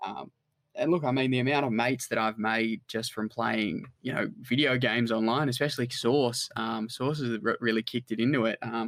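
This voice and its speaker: Here a man talks in an Australian accent at a fairly quick pace. His intonation stays fairly even. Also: medium pitch for a man. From Australia, New South Wales. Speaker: online business founder. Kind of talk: casual chat.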